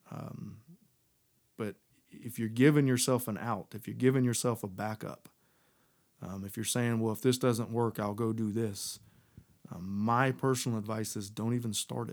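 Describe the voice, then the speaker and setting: A man with an American accent speaks at a medium pitch and moderate pace, with fairly even intonation, long, frequent pauses and big swings in loudness. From Texas. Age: 30s. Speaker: business owner. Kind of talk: interview.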